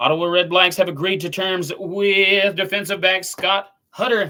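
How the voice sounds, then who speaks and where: A man with a Southern US accent, a raised, projected voice, high pitch, a bright, sharp tone and a fairly slow pace. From US South. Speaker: sports commentator. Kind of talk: live stream commentary. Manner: casual, chatty.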